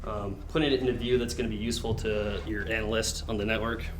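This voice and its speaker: Talking at a very fast pace, a man with a medium-pitched voice keeps his intonation fairly even while audible room echo surrounds him. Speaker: cybersecurity club presenter. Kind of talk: lecture. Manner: halting with fillers.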